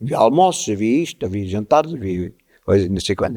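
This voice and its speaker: The voice has a dark, mellow tone and lively intonation at a fairly quick pace. The recording is very clean, with a silent background. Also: man. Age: 70s. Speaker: local fado figure. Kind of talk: podcast interview.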